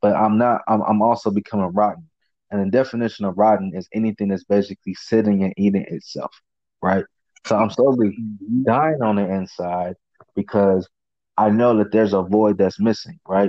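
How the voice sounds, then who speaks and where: At a fairly quick pace, a man talks in an ordinary speaking voice, pitched fairly low, with fairly even intonation. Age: 20s. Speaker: podcast host. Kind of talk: casual chat.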